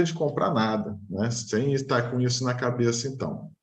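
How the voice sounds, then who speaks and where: A man talks at a moderate pace in a Rio de Janeiro accent. His voice is somewhat breathy, with audible room echo. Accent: carioca. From Rio de Janeiro, Brazil. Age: 40s. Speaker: engineer, client interviewee. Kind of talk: interview testimony.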